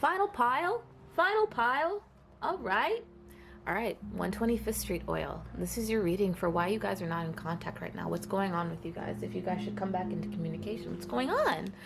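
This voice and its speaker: The woman's fairly quick speech comes through noticeable background noise. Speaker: tarot reader. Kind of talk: tarot reading. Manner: fast; casual, filler-heavy.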